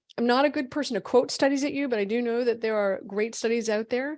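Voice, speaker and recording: The speaker has an American accent. The pitch varies in an ordinary way. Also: woman. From Boston. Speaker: physician. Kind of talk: webinar lecture. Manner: fast.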